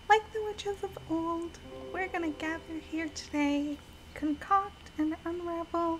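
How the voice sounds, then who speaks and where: A soft-spoken woman talks with an extremely high pitch and fairly even intonation. Her pace is fairly slow, with music in the background. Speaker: VTuber game streamer. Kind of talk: casual gameplay stream with scripted intro. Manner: soft-spoken, shy.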